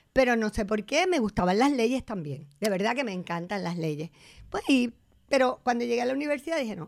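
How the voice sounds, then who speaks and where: This woman sounds animated, her pitch swinging very widely. She moves at a moderate pace. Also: very clean recording, silent background. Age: 60s. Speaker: theatre director and actress. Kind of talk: casual interview.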